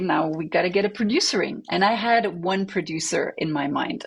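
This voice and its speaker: Somewhat breathy and medium in pitch, a woman speaks at a moderate pace with lively intonation and a French accent. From Belgium, French-speaking family in Flemish area, moved to Montreal at 14. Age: 40s. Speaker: attorney and electronic music artist. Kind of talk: interview. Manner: hesitant, many fillers and repetitions.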